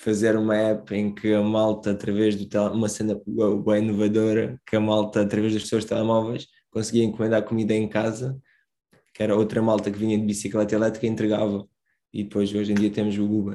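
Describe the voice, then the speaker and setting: This is a man with a fairly low pitch. His intonation stays monotone and flat. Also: fairly quick pace, very clean recording, silent background. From Moldova, moved to Portugal at 10. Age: 20s. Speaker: social entrepreneur. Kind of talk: casual chat.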